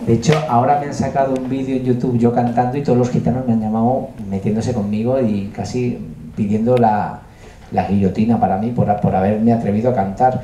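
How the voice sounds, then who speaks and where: A man talks at a medium pitch with fairly even intonation. Noticeable background noise and audible room echo surround his voice. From Andalusia, Huelva (Spain). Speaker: music producer and composer. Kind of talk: masterclass talk. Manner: hesitant, many fillers.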